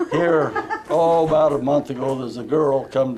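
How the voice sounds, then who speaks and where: A man speaks at a moderate pace in an American accent. Audible room echo and noticeable background noise come through. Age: 80s+. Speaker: farmer. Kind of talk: casual chat.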